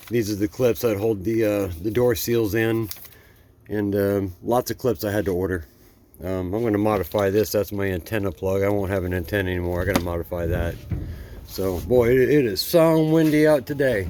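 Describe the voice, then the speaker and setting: At a moderate pace, a man mumbles his words. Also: fairly low pitch for a man, ordinary pitch variation. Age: old. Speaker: car restoration vlogger. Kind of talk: casual DIY vlog. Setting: outdoors. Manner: mumbling.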